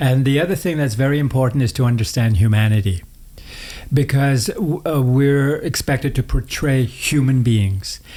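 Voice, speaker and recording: At a moderate pace, a man with a medium pitch speaks in a dark, mellow, somewhat breathy tone, with ordinary pitch variation and very even loudness. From northern Manitoba, Canada (Cree reserve). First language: Cree. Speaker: actor. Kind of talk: interview conversation. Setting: home studio.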